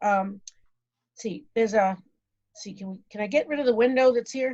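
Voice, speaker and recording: A woman speaks in a somewhat breathy, fairly high voice with ordinary pitch variation. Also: big swings in loudness. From New England, Boston area. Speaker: food safety consultant speaker. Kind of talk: virtual presentation. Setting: video call from home. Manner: fast, rushing; halting, many fillers.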